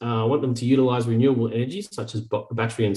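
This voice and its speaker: A man with an Australian accent speaks at a very fast pace, his medium-pitched, somewhat breathy voice held to fairly even intonation. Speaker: startup founder. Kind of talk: sales pitch.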